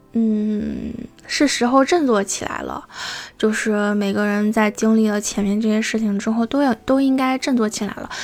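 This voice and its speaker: A woman speaks at a moderate pace in a fairly high pitch, her intonation fairly even. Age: young. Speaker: solo podcaster. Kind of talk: casual monologue. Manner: halting, many fillers.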